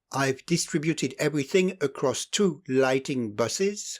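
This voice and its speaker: On a very clean recording with a silent background, a man with a non-native accent talks at a moderate pace, his pitch swinging very widely. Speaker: model railway hobbyist. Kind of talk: scripted hobby tutorial voiceover.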